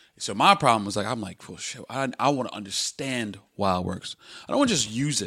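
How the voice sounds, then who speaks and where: With a bright, sharp tone, the voice moves at a fairly quick pace with lively intonation and big swings in loudness, in a very clean recording with a silent background. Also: man, medium pitch for a man. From US Midwest, Chicago. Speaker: entrepreneur. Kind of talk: casual interview chat.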